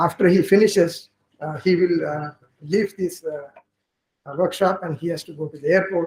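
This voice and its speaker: The speech comes at a fairly quick pace. Its intonation stays fairly even. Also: man. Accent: Marathi. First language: Marathi. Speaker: linguistics professor. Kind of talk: workshop opening speech. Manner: halting.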